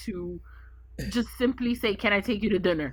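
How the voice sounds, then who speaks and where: A woman with a New York accent speaks in a bright, sharp tone. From Brooklyn, New York. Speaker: podcast guest. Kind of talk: casual chat. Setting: studio.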